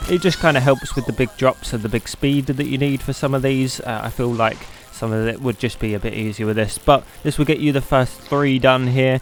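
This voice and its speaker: A man's fairly quick delivery with hardly any pauses and fairly even intonation, music playing in the background. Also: medium pitch for a man. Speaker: gaming youtuber. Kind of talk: game tutorial. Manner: casual.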